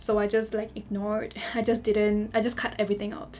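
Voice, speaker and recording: Music plays in the background as a woman speaks. She talks at a moderate pace and a medium pitch. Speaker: Sims builder YouTuber. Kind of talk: casual voiceover commentary. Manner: casual, filler-heavy with repetitions.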